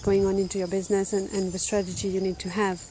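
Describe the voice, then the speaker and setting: A woman with a French accent talks at a very fast pace, medium pitch and monotone, flat intonation. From France. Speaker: life and business coach. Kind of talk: casual talking-head video. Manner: casual, many fillers.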